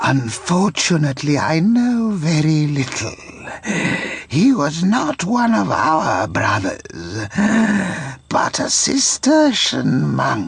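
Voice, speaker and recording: A man puts on a character voice, fairly high in pitch. He speaks very slowly. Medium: game stream. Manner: dismissive, condescending.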